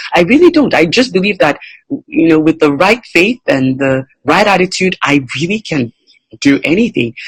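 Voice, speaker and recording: A woman with a fairly low pitch talks at a moderate pace, her pitch swinging very widely. Her voice is somewhat breathy, and the sound is dry and close with no echo. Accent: non-native. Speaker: entrepreneur and motivational speaker. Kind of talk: interview.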